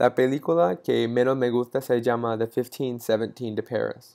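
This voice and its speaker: Fairly slow speech from a man, quiet surroundings behind him. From Texas (Frisco, north of Dallas); Texas. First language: English (speaking Spanish). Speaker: university student. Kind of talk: class presentation. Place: home room. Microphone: earbuds.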